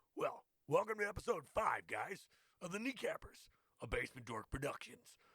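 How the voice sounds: A man is doing a put-on character voice. He speaks at a moderate pace.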